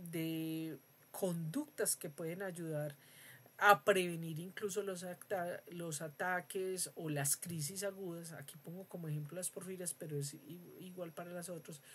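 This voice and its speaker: This woman's fairly low voice moves at a very slow pace, her intonation fairly even while her loudness swings widely. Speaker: university lecturer. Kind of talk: lecture. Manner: hesitant with fillers.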